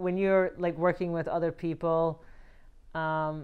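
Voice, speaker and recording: In a Scottish accent, a woman speaks with a very deep, low pitch. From Scotland. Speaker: film writer-director. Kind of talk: interview.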